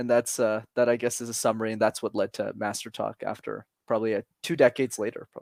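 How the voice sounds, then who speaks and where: A man speaks very fast, the sound dry and close with no echo. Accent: Montreal. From Montreal, Quebec. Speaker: public speaking coach. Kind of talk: interview conversation.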